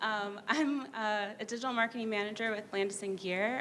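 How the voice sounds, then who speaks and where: A woman speaks at a moderate pace with ordinary pitch variation. The room adds audible echo. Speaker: digital marketing manager. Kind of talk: conference panel introduction. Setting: stage with audience at a summit.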